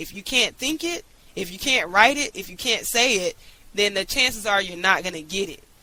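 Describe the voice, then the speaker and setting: Over noticeable background noise, a woman talks at a fairly quick pace in an animated tone and a medium pitch. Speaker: online business coach. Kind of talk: motivational teaching talk.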